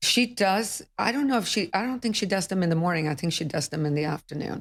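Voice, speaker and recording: The speech moves at a very fast pace in a very clean recording with a silent background. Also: woman, medium pitch for a woman, lively intonation. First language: not English. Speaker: real estate broker. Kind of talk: podcast interview.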